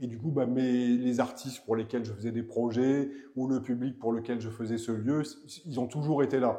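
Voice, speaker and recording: A man speaks at a medium pitch in a dark, mellow tone with flat, monotone intonation. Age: 60s. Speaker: director of a cultural venue and festival. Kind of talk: interview. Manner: halting, with many repetitions and fillers.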